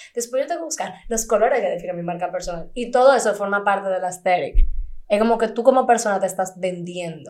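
Here a woman speaks at a medium pitch with lively intonation. Her pace is very fast. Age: 20s. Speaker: actress. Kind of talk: casual chat.

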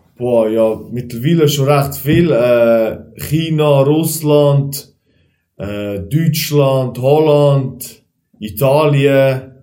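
A man speaks at a very slow pace with a fairly high pitch. His dark, mellow tone carries audible room echo. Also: ordinary pitch variation. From Switzerland, Aargau near Baden. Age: 20s. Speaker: kickboxer and driving instructor. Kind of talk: casual chat.

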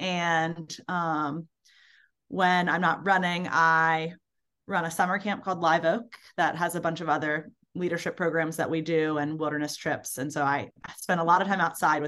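Against a quiet background, a woman with an American accent speaks at a moderate pace with fairly low pitch and fairly even intonation, in an unremarkable speaking voice. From Baltimore, US. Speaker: ultrarunner and summer camp director. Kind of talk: casual interview.

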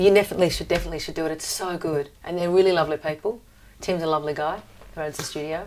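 A woman talks at a very fast pace with a fairly low pitch. Her loudness swings widely over noticeable background noise. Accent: Australian. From Australia. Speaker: professional singer. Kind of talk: casual chat.

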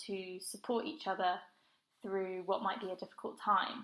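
A woman speaks with an English accent. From southern England, Brighton. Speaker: running group founder. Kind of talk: interview. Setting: remote call.

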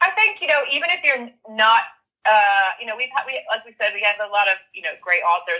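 A woman's bright, sharp voice at a medium pitch, with an American accent, a fairly quick pace and very wide pitch swings. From US. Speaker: creative writing lecturer and novelist. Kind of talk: interview.

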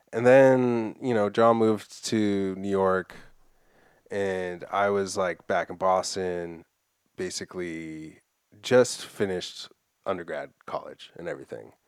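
A man with a plain, everyday voice speaks at a fairly slow pace and a fairly low pitch. The recording is very clean, with a silent background. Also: ordinary pitch variation. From Massachusetts (Framingham). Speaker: skateboarder and screen printer. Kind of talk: casual chat.

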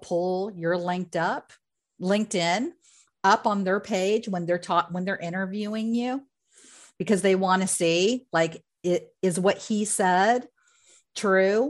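A woman's medium-pitched voice, an ordinary speaking voice with ordinary pitch variation, at a fairly slow pace against a quiet background. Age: 50s. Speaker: career coach and company founder. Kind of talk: interview.

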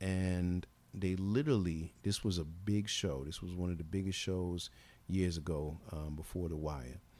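A man's very deep, low voice has a dark, mellow tone. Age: 40s. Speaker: actor and musician. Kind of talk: casual interview.

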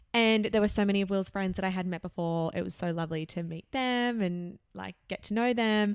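With an Australian accent, the speaker moves at a fairly quick pace with hardly any pauses and ordinary pitch variation, in a very clean recording with a silent background and a dry, close sound with no echo. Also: woman, medium pitch for a woman. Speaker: podcast co-host. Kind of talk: casual chat. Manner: animated.

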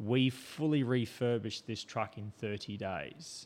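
Over a very clean recording with a silent background, a man with an Australian accent speaks at a fairly slow pace with fairly even intonation. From South Australia, Port Augusta. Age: 50s. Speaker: off-road racer and police officer. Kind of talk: casual interview chat. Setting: studio.

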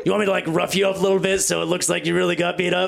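A man puts on a raspy character voice with high pitch. He talks at a very fast pace. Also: very even loudness. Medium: actual play. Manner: earnest, rallying, casual.

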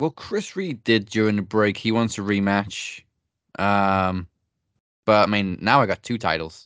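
An unremarkable speaking voice from a man, fairly low in pitch with ordinary pitch variation, against a quiet background. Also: fairly slow pace. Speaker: podcast host. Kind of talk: trivia quiz and predictions banter. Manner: upbeat, conversational.

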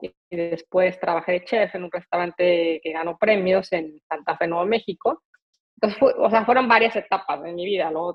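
A woman speaks with a Mexico City accent. Her intonation stays fairly even. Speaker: pastry chef and entrepreneur. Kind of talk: interview.

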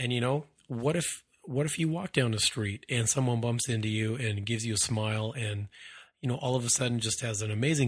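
The voice is somewhat breathy, with ordinary pitch variation and a fairly quick pace. The recording is very clean, with a silent background. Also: man. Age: 30s. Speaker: podcast host. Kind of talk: solo monologue, motivational talk. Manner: casual, with many repetitions and fillers.

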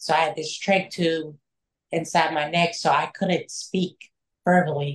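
This woman's voice is fairly low and somewhat breathy. Her intonation is monotone and flat. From Kansas. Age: 30s. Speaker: shooting survivor sharing recovery story. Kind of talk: testimony. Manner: halting, many fillers.

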